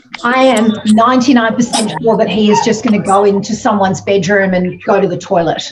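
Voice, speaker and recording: A woman talks at a fairly quick pace with hardly any pauses and fairly even intonation over noticeable background noise. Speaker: styling masterclass host. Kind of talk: casual chat. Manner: hesitant, many fillers; whispering.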